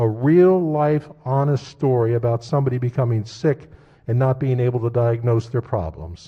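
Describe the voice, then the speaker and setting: A man's medium-pitched, somewhat breathy voice has a dark, mellow tone and lively intonation at a moderate pace. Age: 70s. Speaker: state senator. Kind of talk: floor debate speech. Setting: legislative chamber.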